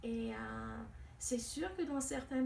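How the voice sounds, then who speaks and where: Audible echo fills the room as a woman talks very slowly. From Quebec, also raised in France and West Africa. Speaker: interviewee, French speaker. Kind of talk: interview. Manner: hesitant, many fillers.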